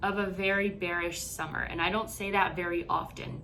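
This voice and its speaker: The voice has a bright, sharp tone and moves at a moderate pace. Room echo is audible. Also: woman. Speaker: crypto investing YouTuber. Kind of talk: market analysis tutorial. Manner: stuttering, halting this morning.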